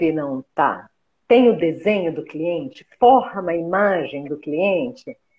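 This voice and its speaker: A woman talks with lively intonation in an ordinary speaking voice. Her pitch is fairly low. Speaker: homeopathic therapist and teacher. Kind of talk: live interview, explanatory chat. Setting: live stream video call.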